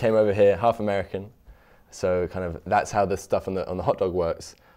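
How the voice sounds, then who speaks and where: Over a quiet background, a man with a British accent speaks at fairly low pitch in a monotone, flat intonation. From London, England. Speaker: student food cart owner. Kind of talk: interview. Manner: halting, with repetitions and fillers.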